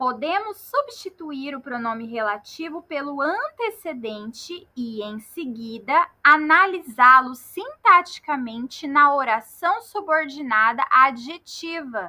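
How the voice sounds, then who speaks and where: In a Mato Grosso do Sul accent, a woman talks very slowly with hardly any pauses, her raised, projected voice high, bright and sharp, with very wide pitch swings. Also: big swings in loudness. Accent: Campo Grande, Mato Grosso do Sul. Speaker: Portuguese grammar teacher. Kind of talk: lecture. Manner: didactic, step-by-step.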